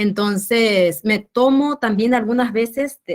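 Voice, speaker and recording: In a Paraguayan accent, the speaker goes at a very slow pace with ordinary pitch variation. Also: woman. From rural Paraguay. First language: Guarani (speaking Spanish). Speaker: researcher on rural youth. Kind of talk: academic discussion.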